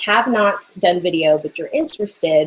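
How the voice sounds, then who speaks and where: A woman speaks at a moderate pace with lively intonation and a medium pitch. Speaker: online business coach and artist. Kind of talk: live hangout Q&A. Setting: live video broadcast from art studio. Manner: animated.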